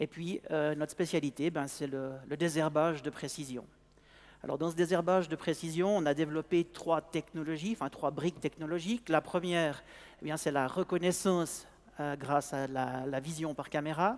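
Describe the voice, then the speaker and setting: The recording is very clean with a silent background. A man speaks at a fairly high pitch. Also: fairly even intonation, moderate pace. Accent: Swiss. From Switzerland. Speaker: sales manager of an agricultural robotics company. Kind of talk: conference talk. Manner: halting, many hesitations and repetitions.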